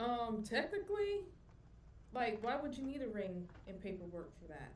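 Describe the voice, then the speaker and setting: A woman's fairly high voice with a Southern US accent, lively intonation, big swings in loudness, a moderate pace and audible room echo. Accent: southern US country. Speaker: podcaster guest. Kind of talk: casual chat.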